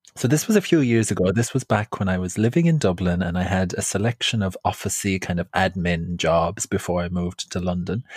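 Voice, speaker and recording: A man with an Irish accent speaks at a fairly quick pace, with hardly any pauses and a very deep, low pitch. His pitch varies in an ordinary way, and the very clean recording has a silent background. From Ireland. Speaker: podcast host, storyteller and cabaret performer. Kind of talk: casual storytelling chat.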